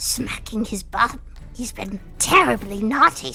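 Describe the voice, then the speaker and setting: Over clear background noise, a woman uses a put-on character voice with a fairly high pitch, lively intonation and a fairly slow pace. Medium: actual play. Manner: unctuous, flattering, sly.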